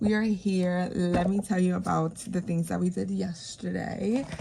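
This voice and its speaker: Noticeable background noise behind a woman talking at a moderate pace. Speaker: budgeting vlogger. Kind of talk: casual vlog. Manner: casual, filler-heavy.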